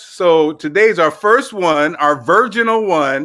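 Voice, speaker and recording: A man with a high, bright and sharp voice projects it loudly in an animated tone with lively intonation, on a very clean recording with a silent background. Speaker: livestream fitness host. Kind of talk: casual livestream chat.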